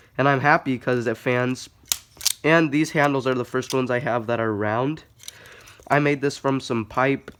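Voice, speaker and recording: The speaker keeps a moderate pace with long, frequent pauses. Noticeable background noise is heard throughout. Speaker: balisong hobbyist youtuber. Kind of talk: casual show-and-tell. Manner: casual, filler-heavy.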